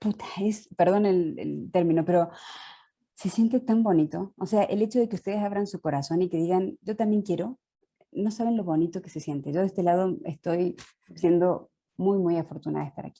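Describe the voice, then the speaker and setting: A woman talks at a fairly quick pace with a medium pitch. Her tone is dark and mellow. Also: ordinary pitch variation. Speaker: journalist and author. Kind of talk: online panel conversation.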